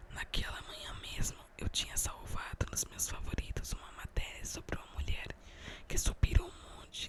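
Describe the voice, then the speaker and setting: A woman whispering at a fairly slow pace against noticeable background noise. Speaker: ASMR creator. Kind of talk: ASMR book reading. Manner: whispered.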